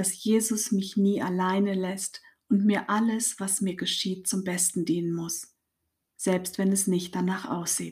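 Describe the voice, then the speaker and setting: A woman speaks in a somewhat breathy, medium-pitched voice with monotone, flat intonation at a fairly slow pace, on a very clean recording with a silent background. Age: 50s. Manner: warm, cheerful.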